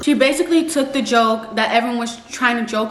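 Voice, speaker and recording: A woman with an American accent talks at a fairly quick pace and a fairly high pitch. Noticeable background noise can be heard. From New York, US. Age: young. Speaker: YouTuber. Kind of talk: casual commentary to camera. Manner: chatty.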